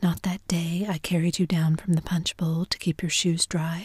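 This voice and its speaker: This is a put-on character voice, husky and at a middle pitch. It moves at a moderate pace. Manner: tender, pleading.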